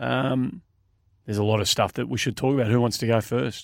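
An animated man with an Australian accent is heard in a dry, close sound with no echo, on a very clean recording over a silent background. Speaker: podcast host. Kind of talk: casual sports talk show. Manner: animated, emphatic, jokey.

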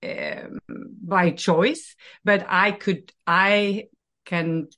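Her tone is bright and sharp, with ordinary pitch variation. The woman is heard against a quiet background. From Norway. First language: Norwegian. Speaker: life coach. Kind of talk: interview.

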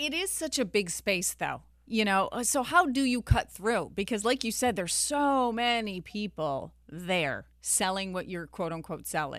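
A woman talks in an unremarkable speaking voice. Her intonation is lively and her pace moderate. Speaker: personal finance podcast host. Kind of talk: interview.

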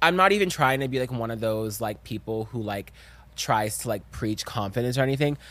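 At a fairly quick pace, a man speaks in an animated tone with a medium pitch and ordinary pitch variation, in a very clean recording with a silent background. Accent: American. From US South. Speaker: content creator. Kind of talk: casual chat.

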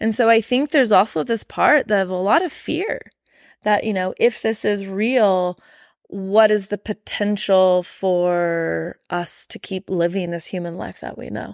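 A woman with an American accent and an ordinary speaking voice talks at a fairly slow pace and a medium pitch with ordinary pitch variation and big swings in loudness, on a very clean recording with a silent background and a dry, close sound with no echo. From Arizona, US Southwest. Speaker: energy healer. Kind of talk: casual chat.

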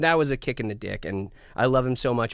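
A man at medium pitch speaks with lively intonation. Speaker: podcast guest, metal singer. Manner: joking, profane storyteller.

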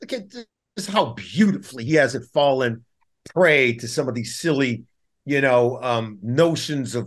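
Speaking at a fairly slow pace with lively intonation, a man with an American accent uses a plain, everyday voice at a medium pitch. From Compton, California. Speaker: former NFL player turned broadcaster. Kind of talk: casual interview.

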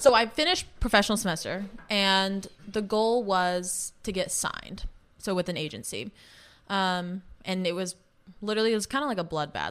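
A woman's normal speaking voice at a medium pitch, with ordinary pitch variation and a moderate pace, on a very clean recording with a silent background. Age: 20s. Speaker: professional dancer. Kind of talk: casual chat.

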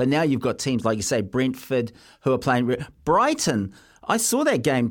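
Moderate pace and ordinary pitch variation on a very clean recording with a silent background. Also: man. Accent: New Zealand. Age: 20s. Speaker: sports radio host. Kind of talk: casual radio chat.

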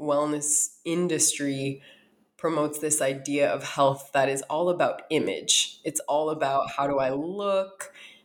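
Her voice is very deep and low for a woman, and she speaks at a fairly slow pace. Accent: American. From US Midwest, North Dakota. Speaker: author and wellness educator. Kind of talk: interview.

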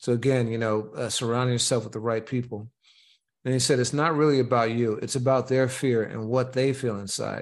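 At a fairly quick pace, an unremarkable speaking voice talks on. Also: man. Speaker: podcast host and media company founder. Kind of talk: casual chat.

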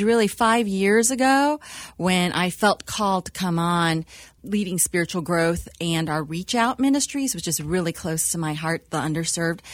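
On a very clean recording with a silent background, a woman with an American accent uses an ordinary speaking voice at medium pitch, a moderate pace and lively intonation. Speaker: church staff member and co-founder. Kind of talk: panel interview, casual chat.

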